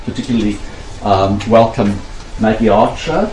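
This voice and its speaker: Noticeable noise runs in the background. The pitch varies in an ordinary way. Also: man. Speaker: event organiser welcoming delegates. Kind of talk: welcome speech.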